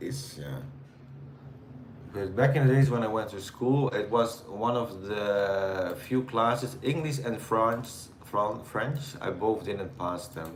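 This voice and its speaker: A man's medium-pitched voice with a Dutch accent and lively intonation, fairly slow, amid noticeable background noise and audible room echo. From Netherlands. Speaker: live streamer. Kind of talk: casual chat with live chat viewers. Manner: hesitant, many fillers.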